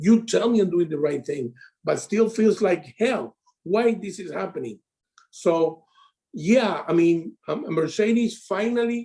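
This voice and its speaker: A man's high, dark and mellow voice at a fairly slow pace, with lively intonation. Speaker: insurance sales advisor. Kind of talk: casual interview chat. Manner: halting.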